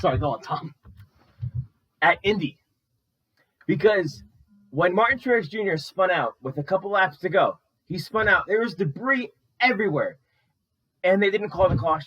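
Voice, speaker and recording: A man with a high voice speaks in a lively, up-and-down way, leaving long and frequent pauses, while music plays in the background. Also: moderate pace. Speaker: sports podcast co-host. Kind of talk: casual chat. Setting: in person, seated together.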